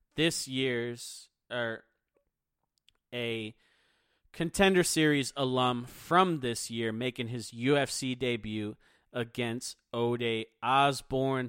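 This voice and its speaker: The recording of a man at medium pitch is very clean, with a silent background and a dry, close sound with no echo. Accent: American. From Philadelphia, US. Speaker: MMA podcast host. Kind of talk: solo podcast commentary. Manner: energetic.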